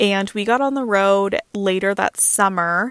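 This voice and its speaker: A woman with an ordinary speaking voice talks at a medium pitch with ordinary pitch variation, on a very clean recording with a silent background. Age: 30s. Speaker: full-time car-dwelling traveler and content creator. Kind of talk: podcast interview.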